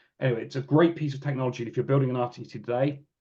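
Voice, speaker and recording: A man talks very fast at a medium pitch. His voice is somewhat breathy. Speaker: real-time computing engineer presenting at a webinar. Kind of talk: technical webinar presentation. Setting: online webinar. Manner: halting, many fillers and restarts.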